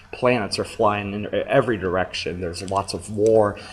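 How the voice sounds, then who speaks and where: Over noticeable background noise, a man's voice sits fairly low in pitch. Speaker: teacher. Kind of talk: lecture. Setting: recorded screencast lecture. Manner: fast.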